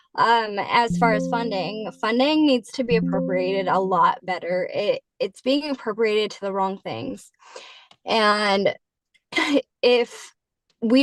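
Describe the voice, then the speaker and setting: A woman has an unremarkable speaking voice with ordinary pitch variation. The sound is dry and close with no echo. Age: 30s. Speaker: political candidate. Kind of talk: candidate forum answer.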